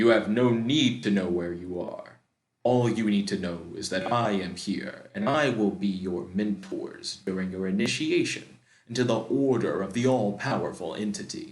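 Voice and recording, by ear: A man's booming, put-on character voice at a fairly low pitch and moderate pace, with slight echo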